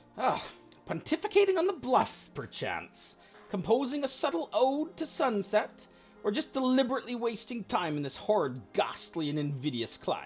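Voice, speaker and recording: Over background music, a man performs a put-on character voice, nasal and pompous in tone, at a moderate pace with very wide pitch swings. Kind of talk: pompous, flowery vocabulary. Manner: sneering, pompous.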